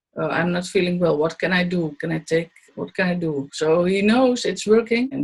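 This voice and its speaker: A woman talks at a moderate pace with ordinary pitch variation. Her voice is somewhat breathy. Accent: Dutch. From Netherlands. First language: Dutch. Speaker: Buteyko trainee and student. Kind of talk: interview testimony. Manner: halting.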